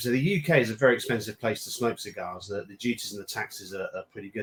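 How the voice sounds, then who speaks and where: Very fast speech from a man with a British accent. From UK. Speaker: cigar brand founder. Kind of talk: casual chat.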